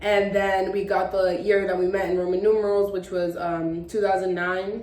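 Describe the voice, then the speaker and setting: With audible room echo and noticeable background noise, a woman speaks at a medium pitch. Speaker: lifestyle vlogger. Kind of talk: casual chat. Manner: halting; filler-heavy.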